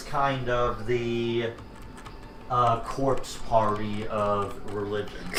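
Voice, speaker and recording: A man at a medium pitch, with audible room echo and noticeable background noise. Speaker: gaming streamer. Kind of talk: casual chat. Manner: loud; halting.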